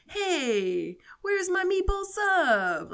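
An extremely high-pitched, put-on character voice carries the lines. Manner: stereotypical, tough-guy.

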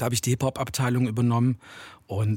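A medium-pitched male voice at a very fast pace with monotone, flat intonation and a dry, close sound with no echo. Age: 40s. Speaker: hip-hop producer and DJ. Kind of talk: interview. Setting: home studio.

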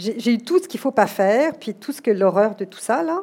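A woman at a moderate pace with lively intonation. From France, Paris. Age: 40s. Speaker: executive recruiter and company director. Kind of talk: interview before a live audience.

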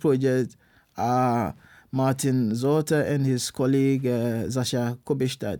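A man speaks at a fairly slow pace with very even loudness, in a medium pitch and a dark, mellow tone. The recording is very clean, with a silent background. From Ghana. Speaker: university lecturer and researcher. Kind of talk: interview. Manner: halting.

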